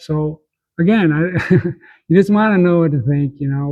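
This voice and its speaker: Male voice, somewhat breathy, its pitch varying in an ordinary way. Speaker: old-world architecture enthusiast. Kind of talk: casual interview talk. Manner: rambling, stumbling over words.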